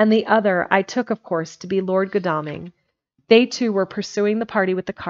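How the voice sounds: A natural reading voice comes through over a quiet background.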